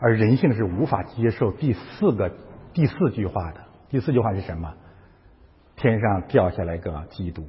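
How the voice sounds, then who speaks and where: Somewhat breathy, a man speaks at a moderate pace with lively intonation, big swings in loudness, and long, frequent pauses. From China. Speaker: pastor. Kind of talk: sermon. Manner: animated.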